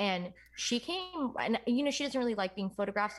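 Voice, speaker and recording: A woman with an American accent at a very fast pace. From New York. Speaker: musician. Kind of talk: interview.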